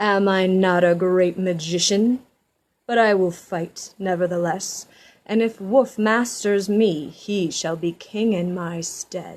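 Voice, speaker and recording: In a very clean recording with a silent background, a woman puts on a gruff character voice at medium pitch and a fairly slow pace. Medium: read story. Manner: gruff, proud.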